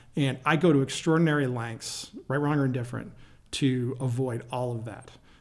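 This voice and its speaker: With an American accent, a man speaks at a moderate pace with fairly even intonation and audible room echo. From Michigan, near Detroit. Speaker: company CEO. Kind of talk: interview.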